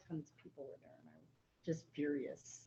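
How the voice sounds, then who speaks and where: A woman's very deep, low voice, somewhat breathy, with fairly even intonation at a fairly quick pace. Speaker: county commissioner. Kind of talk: casual chat.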